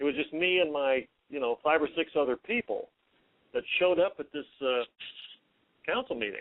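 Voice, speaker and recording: Speaking at a moderate pace with long, frequent pauses, a man uses a fairly high pitch and lively intonation. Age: 60s. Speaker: caller, local activist. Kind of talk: call-in conversation. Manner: halting, hesitant.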